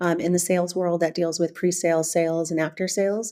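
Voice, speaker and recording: A woman with an American accent speaks at a very fast pace. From US West Coast, California. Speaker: business executive. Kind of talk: podcast interview.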